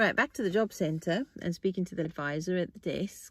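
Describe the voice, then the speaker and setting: On a very clean recording with a silent background, a woman speaks at a fairly low pitch with ordinary pitch variation. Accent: South African. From South Africa. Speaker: podcast host. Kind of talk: casual monologue. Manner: halting.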